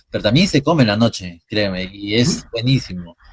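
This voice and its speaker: A somewhat breathy male voice. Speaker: radio host. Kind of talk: interview.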